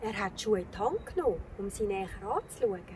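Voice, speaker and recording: There is noticeable background noise as a woman with a Swiss accent speaks, her pitch swinging very widely. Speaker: storyteller. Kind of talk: children's fairy tale reading.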